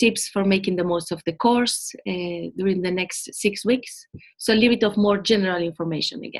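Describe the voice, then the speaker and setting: A woman's medium pitch with fairly even intonation. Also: fairly quick pace. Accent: Spanish. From Spain. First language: Spanish. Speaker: program manager. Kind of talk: webinar presentation.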